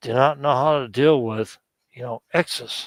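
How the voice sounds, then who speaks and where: The speech comes at a fairly slow pace with ordinary pitch variation. The sound is dry and close, with no echo. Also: man. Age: 60s. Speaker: stream participant. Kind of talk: casual chat.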